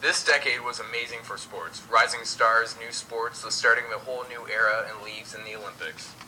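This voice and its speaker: A man talks at a fairly quick pace with hardly any pauses, his loudness swinging widely, over noticeable background noise. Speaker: host of a school history project radio broadcast. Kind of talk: mock 1920s radio broadcast, scripted host talk.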